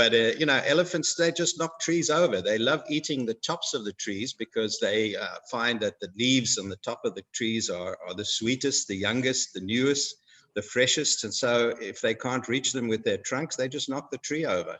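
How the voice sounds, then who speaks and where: The speaker has a Zimbabwean accent and a moderate pace. Pitch variation is ordinary. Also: man, medium pitch for a man. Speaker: guest speaker. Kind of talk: educational talk for schoolchildren. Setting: video call. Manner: hesitant, many fillers.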